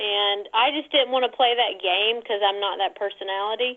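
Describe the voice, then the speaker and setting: Talking at a moderate pace with a Southern US accent, a woman keeps her fairly high pitch in fairly even intonation. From North Carolina, US. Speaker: model. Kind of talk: interview.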